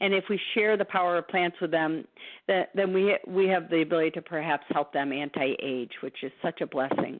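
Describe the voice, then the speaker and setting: A woman with an ordinary speaking voice talks at a fairly low pitch, with ordinary pitch variation. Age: 60s. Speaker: therapist and nutrition speaker. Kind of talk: lecture.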